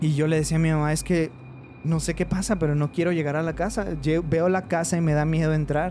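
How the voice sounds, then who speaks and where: With a dark, mellow tone, a man speaks at a fairly quick pace in a fairly high pitch, his loudness very even and his intonation fairly even. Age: 20s. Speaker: veterinarian telling paranormal stories. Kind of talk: personal storytelling in casual chat. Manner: hesitant, many fillers.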